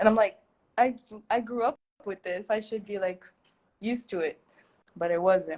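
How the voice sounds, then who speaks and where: A woman with an American accent talks in an unremarkable speaking voice at a medium pitch with ordinary pitch variation. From United States. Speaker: content creator and teacher. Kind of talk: livestream interview. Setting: livestream. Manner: casual, filler-heavy.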